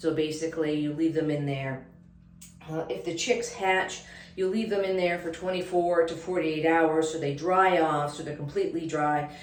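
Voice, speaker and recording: With audible room echo and noticeable background noise, a woman speaks at a fairly low pitch with fairly even intonation. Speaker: homestead vlogger. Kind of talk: casual vlog. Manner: hesitant, many fillers; fast.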